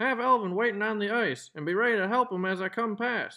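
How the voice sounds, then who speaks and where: Raised and projected, a man's put-on character voice runs at a fairly quick pace and a high pitch. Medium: read story.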